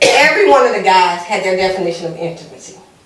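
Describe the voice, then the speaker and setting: An animated woman talks amid noticeable background noise. Audible room echo surrounds her voice. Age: 50s. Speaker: lawyer and panel moderator. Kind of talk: panel discussion.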